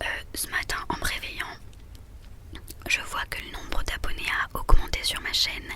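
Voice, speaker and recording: A woman whispering at a fairly slow pace, with long, frequent pauses, big swings in loudness and noticeable background noise. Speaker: ASMR creator. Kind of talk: ASMR horoscope reading. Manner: whispered.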